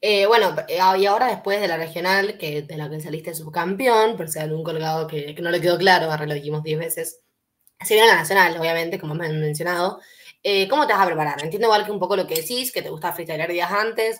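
Speaking very fast, a woman with a fairly low voice shows ordinary pitch variation and big swings in loudness. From Mendoza, Argentina. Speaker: interviewer. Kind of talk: interview. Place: home room.

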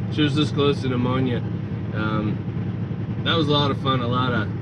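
A man at a fairly slow pace with ordinary pitch variation, over loud background noise. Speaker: truck driver trainer vlogger. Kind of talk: casual vlog chat. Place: car. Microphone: camera far.

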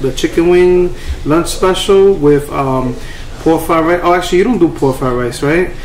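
A man talks at a moderate pace in a high pitch with ordinary pitch variation, his voice carrying audible room echo over light background noise. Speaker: food reviewer. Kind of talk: casual vlog chat. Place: cafe. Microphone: lapel.

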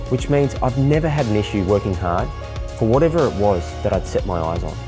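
A man's fairly low voice at a very fast pace, swinging very widely in pitch, with music in the background. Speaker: keynote speaker. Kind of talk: personal narration for a speaker promo.

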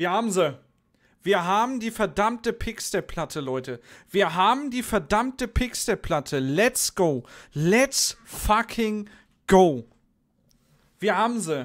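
Over a quiet background, a man speaks at a very slow pace with long, frequent pauses. His pitch swings very widely. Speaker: streamer. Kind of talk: casual gaming commentary. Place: home room. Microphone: studio mic.

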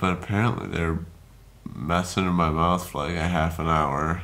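Ordinary pitch variation runs through the clip. The speaking pace is moderate. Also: man. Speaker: vlogger after wisdom tooth surgery. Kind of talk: casual vlog chat. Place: home room. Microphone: phone near.

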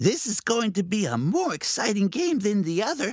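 A put-on character voice, squeaky and fairly high, moves at a moderate pace with very wide pitch swings. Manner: sulky then cheeky.

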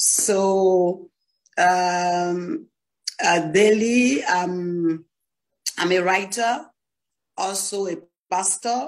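Against a quiet background, a woman speaks at a very slow pace with ordinary pitch variation and long, frequent pauses. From Ivory Coast. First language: French. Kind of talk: online panel talk. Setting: video call. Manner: halting. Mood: calm, friendly. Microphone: video call.

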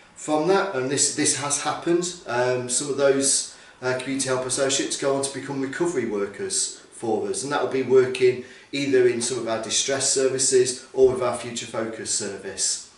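A man speaks at a moderate pace with hardly any pauses. His fairly even intonation comes through with audible room echo. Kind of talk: interview answer. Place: office. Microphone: camera far.

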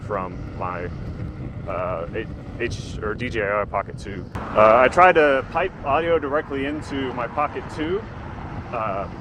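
Noticeable background noise surrounds a man talking at a fairly slow pace with lively intonation. The sound itself is dry, with no echo. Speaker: hobbyist rider reviewer. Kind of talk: casual vlog chat. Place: street. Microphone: lapel.

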